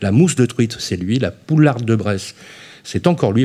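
With a somewhat breathy, dark, mellow tone, a man speaks at a medium pitch and a moderate pace, his pitch swinging very widely. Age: 30s. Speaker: radio host. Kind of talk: radio show. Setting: live radio broadcast. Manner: animated.

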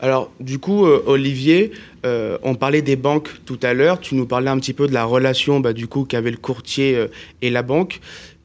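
A man with a normal speaking voice, medium pitch and ordinary pitch variation, at a moderate pace on a very clean recording with a silent background. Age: 20s. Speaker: student radio host. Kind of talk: casual interview; role play.

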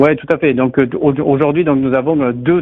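With a southern French accent, a man talks in a fairly even intonation. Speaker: startup founder. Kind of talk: interview.

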